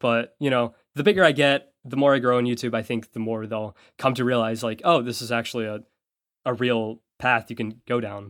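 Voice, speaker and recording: On a very clean recording with a silent background, a man talks fairly quickly at medium pitch in a normal speaking voice. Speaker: YouTuber and podcast co-host. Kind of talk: casual chat. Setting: voice call.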